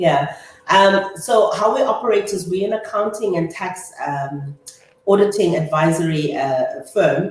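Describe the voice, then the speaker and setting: In a South African accent, a woman speaks at a fairly slow pace, with audible room echo and noticeable background noise. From South Africa, Eastern Cape (Humansdorp). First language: Afrikaans. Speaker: chartered accountant and business owner. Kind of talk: interview.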